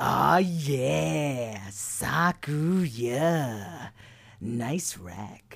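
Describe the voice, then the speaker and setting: At a low-to-middle pitch, a put-on character voice makes very wide pitch swings. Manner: brash, mocking.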